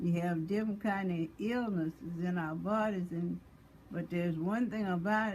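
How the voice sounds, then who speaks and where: A woman speaks at a fairly slow pace, somewhat breathy. Her intonation stays fairly even. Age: 80s+. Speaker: mother of five. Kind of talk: religious testimony talk.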